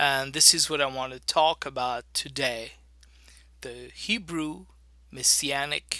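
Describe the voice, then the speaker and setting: Very slow and broken by long, frequent pauses, a man's fairly high voice carries a bright, sharp tone and fairly even intonation in a very clean recording with a silent background. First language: French. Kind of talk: teaching talk.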